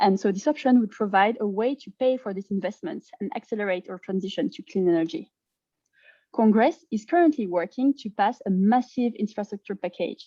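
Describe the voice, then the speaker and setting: Woman with a French accent, medium pitch and a dark, mellow tone, lively intonation at a fairly quick pace, big swings in loudness, in a dry, close sound with no echo. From France. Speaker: climate advocacy presenter. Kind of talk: presentation.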